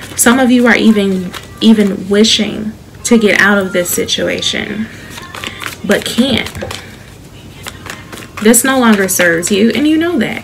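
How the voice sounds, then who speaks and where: Soft-spoken and soothing, a woman with an American accent talks at a fairly slow pace with long, frequent pauses, her fairly high pitch showing ordinary variation over noticeable background noise. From Chicago. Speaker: tarot reader. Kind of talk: tarot reading to camera. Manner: soft-spoken, soothing.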